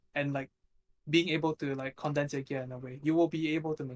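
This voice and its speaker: Fairly quick and fairly high-pitched, a man speaks with fairly even intonation in a dry, close sound with no echo. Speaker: competitive mobile game player. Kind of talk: casual chat. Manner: flat, not very expressive; hesitant, many fillers.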